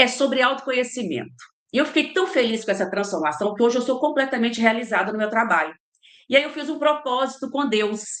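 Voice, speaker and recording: An animated tone, lively intonation and a fairly quick pace. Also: woman, high pitch for a woman. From Minas Gerais, Brazil (Ipatinga). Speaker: leadership trainer and mentor. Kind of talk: interview.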